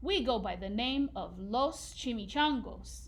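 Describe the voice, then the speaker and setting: Putting on a growling character voice, a woman speaks at a fairly slow pace. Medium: read story. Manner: solemn, commanding.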